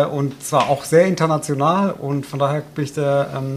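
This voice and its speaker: With ordinary pitch variation and a fairly high pitch, the man talks over noticeable background noise. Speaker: mayor. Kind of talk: casual chat. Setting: home kitchen.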